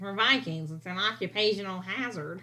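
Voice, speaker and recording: A female-sounding put-on character voice at a medium pitch and moderate pace, against clear background noise. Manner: flat, imitated delivery.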